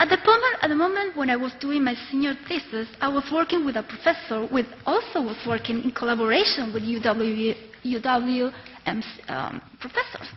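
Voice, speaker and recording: A woman with an Argentine accent speaks at a high pitch and a moderate pace. Her pitch varies in an ordinary way against noticeable background noise. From Argentina, Córdoba. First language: Spanish. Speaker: doctoral student. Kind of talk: prepared speech.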